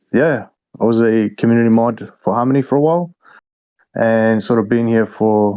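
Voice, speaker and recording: Fairly even intonation comes through in an Australian accent. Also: man. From Australia, Melbourne. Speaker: crypto game developer. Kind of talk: casual interview.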